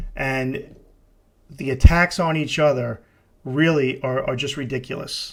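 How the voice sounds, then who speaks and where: A man with an American accent, fairly high in pitch, with fairly even intonation. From New York City. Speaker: podcast host, deliverance minister, retired police officer. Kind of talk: casual podcast monologue. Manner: halting, many fillers and repetitions.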